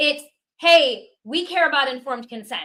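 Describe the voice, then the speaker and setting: A woman talks loudly at a moderate pace in a bright, sharp tone, her pitch varying in an ordinary way. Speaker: podcast co-host. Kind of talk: podcast interview.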